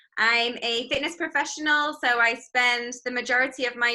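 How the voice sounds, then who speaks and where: A woman with an English accent and a fairly high voice speaks at a fairly slow pace in a bright, sharp tone. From northwest England, near Manchester. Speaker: fitness instructor. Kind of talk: casual interview chat. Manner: hesitant, many fillers.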